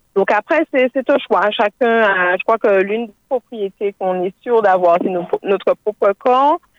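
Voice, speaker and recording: A woman talks at a fairly slow pace with fairly high pitch and ordinary pitch variation, in an unremarkable speaking voice. The sound is dry and close, with no echo. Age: 20s. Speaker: life coach. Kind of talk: radio panel discussion. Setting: phone call.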